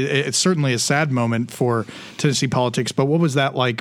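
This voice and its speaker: A man, with noticeable background noise. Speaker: podcast host. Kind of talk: casual interview chat.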